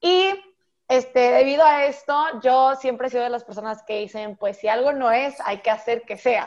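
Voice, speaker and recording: A high-pitched female voice at a moderate pace with ordinary pitch variation. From Monterrey, Mexico. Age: 19. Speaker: podcast host, university student. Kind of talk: casual chat.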